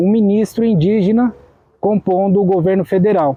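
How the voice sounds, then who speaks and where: The man's voice is high in pitch. He keeps a moderate pace. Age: 30s. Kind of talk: documentary interview. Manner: halting, with many fillers.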